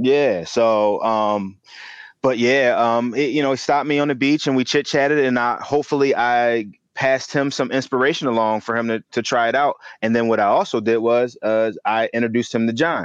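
Against a quiet background, a man uses a normal speaking voice at a medium pitch, with fairly even intonation, very even loudness and a fairly quick pace. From West Philadelphia, US. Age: 30s. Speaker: surfer. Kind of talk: casual chat.

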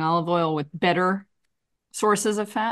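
Against a quiet background, a woman with a fairly low pitch speaks at a moderate pace with fairly even intonation in an ordinary speaking voice. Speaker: radio host. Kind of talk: interview.

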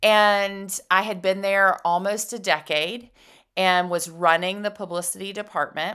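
In an American accent, a woman speaks at a medium pitch and a fairly slow pace with a bright, sharp, energetic tone. The recording is very clean and the background silent. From US South, Atlanta, Georgia. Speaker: publicist and business owner. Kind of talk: casual interview chat.

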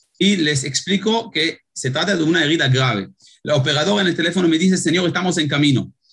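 A man speaks at a very fast pace with vocal fry, his fairly high pitch showing ordinary variation at very even loudness. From Israel. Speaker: paramedic and startup founder. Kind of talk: interview.

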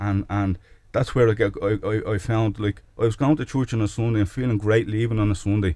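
A man with a fairly low pitch and a dark, mellow tone speaks at a fairly quick pace, his intonation fairly even over a quiet background. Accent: Irish. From Ireland, Kildare. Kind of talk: faith testimony interview. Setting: radio studio. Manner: halting, many repetitions and fillers; meek, humble.

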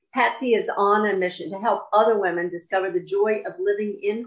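Here is a woman with an ordinary speaking voice and medium pitch. Her intonation is lively and her pace moderate. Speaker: podcast host. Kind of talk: interview, friendly chat.

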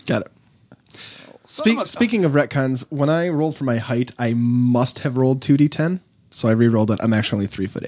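Recorded very cleanly against a silent background, a man with an unremarkable speaking voice talks at a medium pitch, with ordinary pitch variation and big swings in loudness. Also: fairly quick pace. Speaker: roleplaying game player. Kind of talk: tabletop roleplaying actual play, casual chat.

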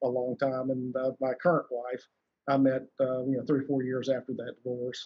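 Monotone, flat intonation from a man with an American accent. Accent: Southern US, slight now. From South Alabama. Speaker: company CEO. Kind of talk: interview, personal storytelling.

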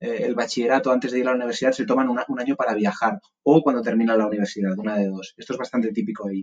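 Talking at a very fast pace, a medium-pitched man shows ordinary pitch variation. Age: 20s. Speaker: startup CEO. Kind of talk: interview.

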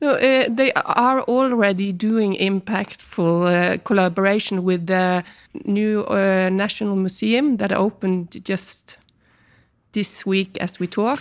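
A woman at a very slow pace, with a Norwegian accent and ordinary pitch variation, in a very clean recording with a silent background. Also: medium pitch for a woman. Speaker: arts organization curator. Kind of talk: interview. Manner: hesitant, many fillers.

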